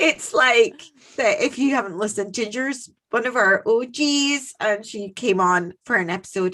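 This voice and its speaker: A woman speaks with a fairly high pitch and a bright, sharp tone. Her intonation is lively and her pace moderate. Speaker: podcast co-host. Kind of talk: casual chat. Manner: animated.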